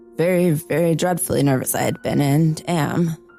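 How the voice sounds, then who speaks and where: Against music in the background, a woman speaks fairly slowly in a very deep, low pitch. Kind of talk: dramatic story reading.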